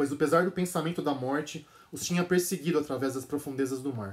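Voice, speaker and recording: In a Brazilian accent, a man speaks fairly quickly with a solemn, dramatic tone. His pitch is fairly high and varies in an ordinary way. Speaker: translator and channel host. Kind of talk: dramatic narration reading aloud a literary passage. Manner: solemn, dramatic, measured; casual, enthusiastic in intro. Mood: calm, measured narration. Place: home room. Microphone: phone near.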